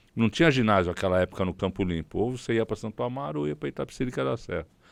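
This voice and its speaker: Pitch swings very widely as the speaker talks at a very fast pace in a very clean recording with a silent background. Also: man, very deep, low pitch for a man. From Brazil, São Paulo city. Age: 60s. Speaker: city councillor, politician. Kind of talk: interview.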